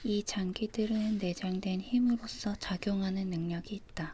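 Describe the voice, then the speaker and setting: A woman with a medium pitch talks at a very slow pace in a calm, dark, mellow tone that is somewhat breathy, her intonation monotone and flat. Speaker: ASMR creator. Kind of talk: book reading ASMR with page-turning sounds. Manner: calm, soft, slow reading.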